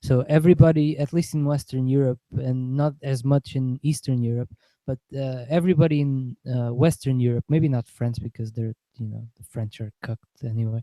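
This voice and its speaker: With a Portuguese accent, a man speaks at a medium pitch in a dark, mellow tone with fairly even intonation and big swings in loudness, in a dry, close sound with no echo. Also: moderate pace. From Portugal. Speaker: political podcast host. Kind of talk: casual political chat.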